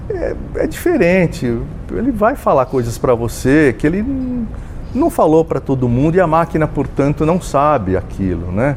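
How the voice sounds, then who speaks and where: The voice moves at a moderate pace with very wide pitch swings, over noticeable background noise. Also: man, fairly high pitch for a man. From Brazil, interior of São Paulo state (Jaú). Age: 60s. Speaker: journalist. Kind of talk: interview. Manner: hesitant, many fillers.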